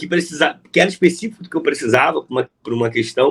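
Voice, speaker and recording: High-pitched for a man, this voice races along. The pace is very fast. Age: 30s. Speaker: teacher and social activist. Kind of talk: casual interview conversation. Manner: animated, informal slang.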